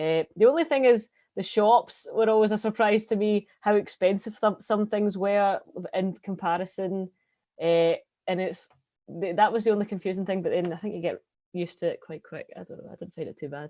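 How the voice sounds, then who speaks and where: A woman's medium-pitched voice with a dark, mellow tone, ordinary pitch variation and big swings in loudness, at a fairly quick pace, in a dry, close sound with no echo against a quiet background. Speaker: international college student. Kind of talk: panel Q&A.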